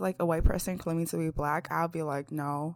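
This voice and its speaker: The speaker is a woman with an unremarkable speaking voice. She talks at a fairly low pitch and a fairly quick pace. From US from age six, born in China. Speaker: podcast co-host. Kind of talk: casual chat.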